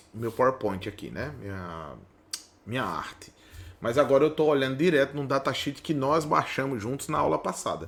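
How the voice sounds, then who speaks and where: Lively intonation in a man's medium pitch. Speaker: automation instructor. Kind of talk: tutorial. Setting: workbench. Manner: fast; casual, conversational.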